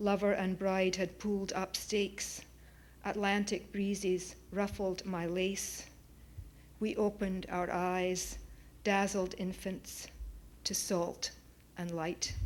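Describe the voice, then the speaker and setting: A woman with a Scottish accent at a medium pitch, at a very slow pace with long, frequent pauses and monotone, flat intonation. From Scotland, Oban. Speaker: poet. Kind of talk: poetry reading. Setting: auditorium with audience.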